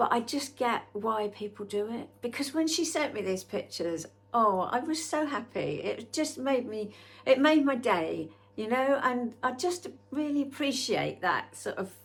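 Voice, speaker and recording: A woman with a high voice speaks fairly slowly, her intonation lively. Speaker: artist and painter vlogger. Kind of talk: casual vlog chat to camera.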